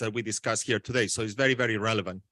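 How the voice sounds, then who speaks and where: Over a quiet background, a man speaks in a bright, sharp tone, the sound dry and close with no echo. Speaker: education technology researcher. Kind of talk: conference talk. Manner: fast.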